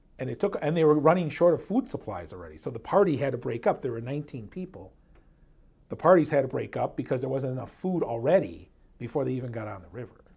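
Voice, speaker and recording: On a very clean recording with a silent background, a man at medium pitch talks at a very fast pace with vocal fry, very wide pitch swings and big swings in loudness. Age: 50s. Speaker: history podcast co-host. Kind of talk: casual history storytelling.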